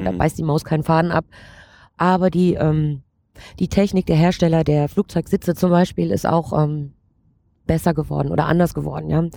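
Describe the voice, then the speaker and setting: A woman's fairly low-pitched voice with a dark, mellow tone, on a very clean recording with a silent background. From Saxony, Ore Mountains (Erzgebirge). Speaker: flight attendant. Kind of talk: interview.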